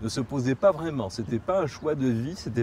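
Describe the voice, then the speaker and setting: Speaking at a moderate pace, this man has a medium pitch and lively intonation. His tone is dark and mellow, and somewhat breathy. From Morocco (Tangier). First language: Spanish (speaking French). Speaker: interviewee recounting his emigration to Israel. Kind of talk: interview testimony. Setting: outdoors on a promenade in Jerusalem. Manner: hesitant, with repetitions.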